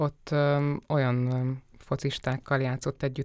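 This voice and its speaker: A woman's very deep, low voice with vocal fry, in a very clean recording with a silent background. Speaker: podcast interviewer. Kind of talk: interview conversation. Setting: studio. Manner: formal, polite.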